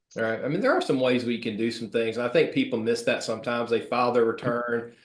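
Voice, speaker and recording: A man with a medium-pitched voice talks at a very fast pace. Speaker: financial advisor. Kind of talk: Q&A webinar.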